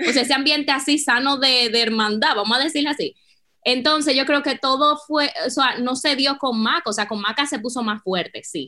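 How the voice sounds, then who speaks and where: A woman with a high pitch and a bright, sharp tone uses a raised, projected voice, her pitch varying in an ordinary way. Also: moderate pace. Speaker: business co-founder. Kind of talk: interview.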